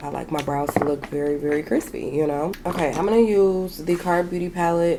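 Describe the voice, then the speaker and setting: A woman speaks at a fairly quick pace in a very deep, low voice with ordinary pitch variation, over noticeable background noise. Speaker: beauty vlogger. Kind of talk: makeup tutorial with casual chat. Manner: casual, chatty.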